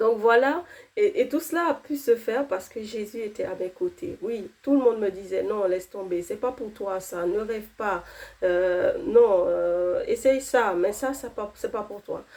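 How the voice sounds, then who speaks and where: Speaking at a fairly slow pace with a non-native accent, a woman uses a fairly high voice and lively intonation. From outside France, arrived at fifteen. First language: not French (speaking French). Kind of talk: testimony. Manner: hesitant, many fillers.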